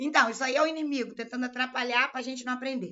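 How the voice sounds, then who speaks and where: A woman speaks in a high-pitched voice. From Rio de Janeiro, Brazil. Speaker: law exam-prep teacher. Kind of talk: live online lecture. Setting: live stream.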